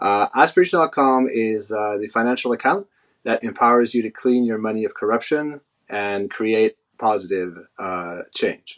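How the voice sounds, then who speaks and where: Over a quiet background, a man talks at a moderate pace, his pitch medium with ordinary variation. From Quebec City, Canada. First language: French. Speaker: head of CRM. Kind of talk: panel discussion.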